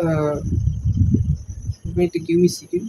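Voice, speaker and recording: A man speaks in a Marathi accent with a high pitch and a moderate pace. His intonation stays monotone and flat. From India, Maharashtra. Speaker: student vlogger. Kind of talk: casual vlog about studies. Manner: halting, many fillers.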